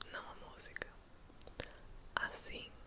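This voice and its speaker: Whispering in a calm tone at a fairly slow pace, the speaker is heard over noticeable background noise. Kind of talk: whispered bedtime story reading. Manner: whispered, soft, calm.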